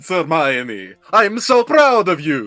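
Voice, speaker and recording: A man puts on a theatrical character voice, pitched fairly high with very wide pitch swings. He talks at a very slow pace over faint background music. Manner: theatrical, exaggerated.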